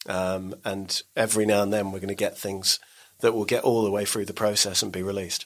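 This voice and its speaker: A man talks at a fairly quick pace with an English accent. His fairly low pitch stays in a monotone, flat intonation. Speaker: podcast network boss. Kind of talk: casual interview chat.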